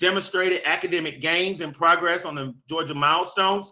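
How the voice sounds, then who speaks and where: Against a quiet background, a man speaks with ordinary pitch variation. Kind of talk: meeting presentation, reading answers. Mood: upbeat, praising. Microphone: webcam.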